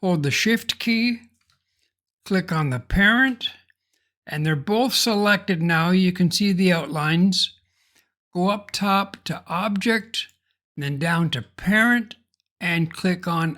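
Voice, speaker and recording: A man's raised, projected voice, high-pitched with a bright, sharp tone and ordinary pitch variation, at a very slow pace with long, frequent pauses, on a very clean recording with a silent background. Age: 70s. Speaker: software tutorial creator. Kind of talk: tutorial.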